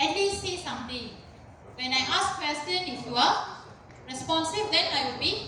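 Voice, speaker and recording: Her voice raised and projected, a woman speaks at a moderate pace with lively intonation. Noticeable background noise and audible room echo surround her. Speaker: university lecturer. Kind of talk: lecture. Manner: loud.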